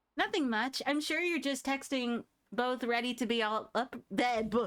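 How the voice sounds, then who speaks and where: Using a squeaky, put-on character voice at a high pitch, a woman speaks at a moderate pace with ordinary pitch variation. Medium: game stream.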